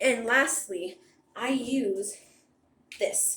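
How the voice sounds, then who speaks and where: A woman is talking in a room with audible echo. Light background noise is present. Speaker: beauty vlogger. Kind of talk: casual product review. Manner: chatty. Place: bathroom. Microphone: phone near.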